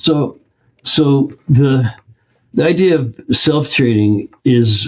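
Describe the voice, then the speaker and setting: This man speaks with an American accent and a somewhat breathy voice. His pitch variation is ordinary. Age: 70s. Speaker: health practitioner and course founder. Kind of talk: interview.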